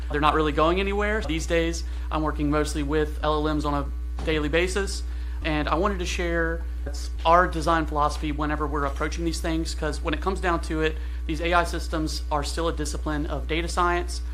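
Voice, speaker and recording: With audible room echo, a man talks at a fairly quick pace in a very deep, low voice. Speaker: AI engineer giving a conference talk. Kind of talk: conference talk. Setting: stage with audience. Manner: fast; animated.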